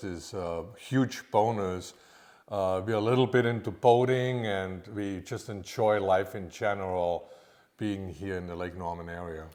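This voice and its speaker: With a slight Austrian accent, a man speaks at a fairly low pitch and a fairly slow pace, using fairly even intonation. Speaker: private chef. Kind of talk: podcast interview.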